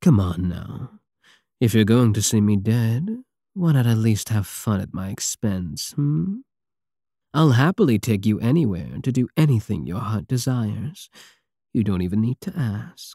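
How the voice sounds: Doing a put-on character voice, a man speaks at a fairly low pitch with big pitch swings and a dark, mellow tone carrying a slightly husky edge, in a very clean recording with a silent background and a dry, close sound with no echo. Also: fairly slow pace.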